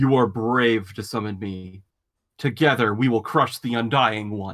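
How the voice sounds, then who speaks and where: A rumbling, put-on character voice. It moves at a moderate pace. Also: man, medium pitch for a man. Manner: ominous, commanding.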